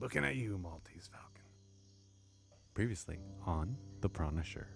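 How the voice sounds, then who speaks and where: Putting on a cartoonish character voice, a man talks at a moderate pace with a very deep, low pitch. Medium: puppet. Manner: grumpy, ranting.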